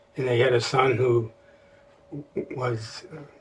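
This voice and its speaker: Over noticeable background noise, a man speaks at a fairly slow pace with an American accent. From US Midwest, Chicago. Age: 90s. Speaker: elderly interviewee. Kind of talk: oral history interview. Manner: halting.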